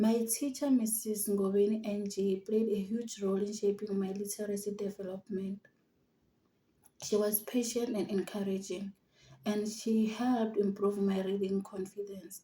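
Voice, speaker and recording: Her tone dark and mellow, a woman speaks at a moderate pace in a somewhat breathy voice with monotone, flat intonation. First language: Xitsonga. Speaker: university student. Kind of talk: prepared personal narrative.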